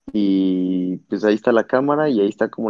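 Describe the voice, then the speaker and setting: A man in an ordinary speaking voice talks at a fairly low pitch with ordinary pitch variation. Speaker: podcast guest. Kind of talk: casual chat.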